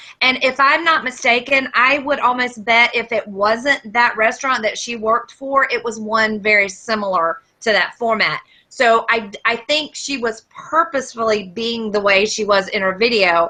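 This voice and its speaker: A woman speaks with a Southern US accent at a moderate pace, with hardly any pauses. Her voice is fairly high, bright and sharp, with ordinary pitch variation. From US South. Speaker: podcast co-host. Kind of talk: casual chat.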